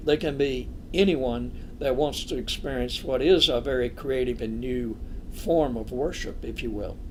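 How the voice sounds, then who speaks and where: Fairly slow delivery with ordinary pitch variation and audible room echo. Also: man. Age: 80s+. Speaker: clergyman and physician. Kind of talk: interview conversation.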